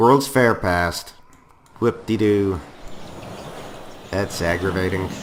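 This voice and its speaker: The speaker goes at a very slow pace, with long, frequent pauses and ordinary pitch variation. Noticeable background noise runs through the clip. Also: man, fairly low pitch for a man. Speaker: gaming YouTuber. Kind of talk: let's play commentary. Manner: casual, conversational.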